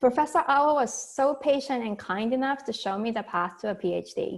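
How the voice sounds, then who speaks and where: A woman speaks with a Japanese accent and lively intonation. The recording is very clean, with a silent background. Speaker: professor and talk series host. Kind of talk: speaker introduction.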